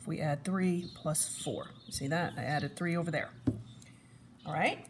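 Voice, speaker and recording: A woman speaks in a fairly low pitch, her voice somewhat breathy. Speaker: math teacher. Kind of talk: tutorial.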